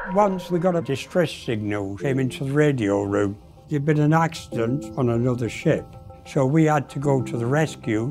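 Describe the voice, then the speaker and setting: A man's medium-pitched voice with lively intonation at a moderate pace, music playing behind him. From north of England, near Manchester. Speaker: former ship crew member. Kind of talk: documentary interview answer.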